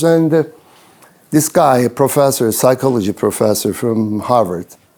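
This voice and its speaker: A man with a medium pitch and a dark, mellow tone is heard in a very clean recording with a silent background. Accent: Turkish. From Turkey (Ankara). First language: Turkish. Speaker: business consultant and speaker. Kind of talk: event talk to students. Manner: halting, many fillers and repetitions.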